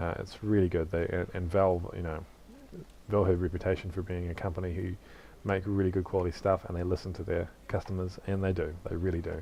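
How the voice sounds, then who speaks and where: With a New Zealand accent, a man talks at a fairly quick pace in a very deep, low pitch, his tone dark and mellow and his intonation monotone and flat. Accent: Kiwi. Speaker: gaming YouTuber. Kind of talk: casual gameplay commentary. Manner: casual, hesitant with fillers.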